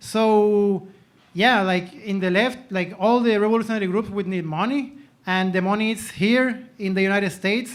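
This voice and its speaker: With a Spanish accent, a man talks at a high pitch with fairly even intonation. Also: moderate pace. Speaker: audience member asking a question. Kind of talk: Q&A comment at panel event. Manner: halting, code-switching.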